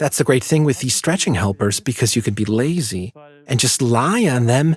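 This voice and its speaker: Calm and somewhat breathy, a man speaks at a moderate pace with very even loudness. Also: medium pitch for a man, lively intonation. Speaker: pain therapist demonstrating exercises. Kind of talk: exercise tutorial. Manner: calm, instructive.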